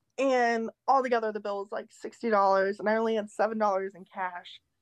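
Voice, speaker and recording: A woman talks at a fairly quick pace with a fairly high pitch and fairly even intonation, in an unremarkable speaking voice. The sound is dry and close with no echo, over a quiet background. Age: 20s. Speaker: optician. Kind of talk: casual chat.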